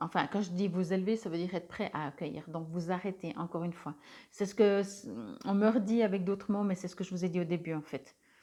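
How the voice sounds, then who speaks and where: Her voice has a dark, mellow tone at a medium pitch for a woman. She speaks at a fairly quick pace. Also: fairly even intonation. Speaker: tarot reader and energy healer. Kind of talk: spiritual card reading guidance. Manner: hesitant, many filler sounds.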